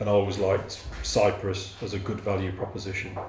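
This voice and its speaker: In a Birmingham accent, a man talks with a very deep, low pitch and monotone, flat intonation. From Birmingham, England. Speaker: property developer. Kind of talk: interview answer.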